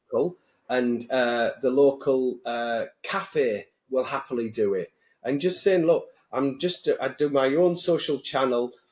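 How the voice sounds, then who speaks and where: A Teesside accent with ordinary pitch variation. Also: man. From northern England, Teesside. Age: 60s. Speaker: mortgage industry bank executive. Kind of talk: casual interview chat. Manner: animated.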